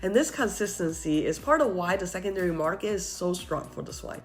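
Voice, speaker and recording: Over music in the background, a woman talks at a fairly quick pace in a medium pitch with lively intonation. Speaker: wine seller and educator. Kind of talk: casual talk to camera about wine.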